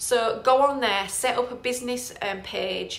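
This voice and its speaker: With a northern English accent, a woman speaks at a fairly high pitch amid noticeable background noise and audible room echo. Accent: northern English twang. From northern England. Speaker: property investor and trainer. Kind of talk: live Q&A tutorial. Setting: Facebook live stream. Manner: casual, hesitant with fillers.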